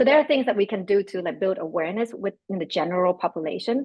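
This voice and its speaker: Speaking at a very fast pace, a woman uses lively intonation with a Vietnamese accent. Her pitch sits in the medium range. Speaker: panelist, business leader. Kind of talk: panel discussion.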